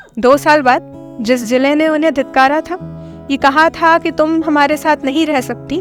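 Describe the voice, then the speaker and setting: Music plays in the background as a woman talks in a high pitch. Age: young. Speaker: spoken word poet. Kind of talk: spoken word storytelling. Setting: studio. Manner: heartfelt, emotional.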